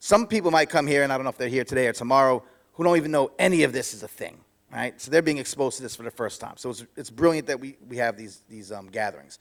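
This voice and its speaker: A man with a New York accent talks at a very fast pace and medium pitch, showing ordinary pitch variation and big swings in loudness. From New York City. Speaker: author and podcaster, former DJ. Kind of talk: conference talk. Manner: halting, many restarts.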